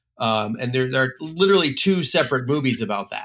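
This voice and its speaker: Lively intonation marks this man's ordinary speaking voice, which has a medium pitch and an American accent. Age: 50s. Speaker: podcast host and editor. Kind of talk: casual chat.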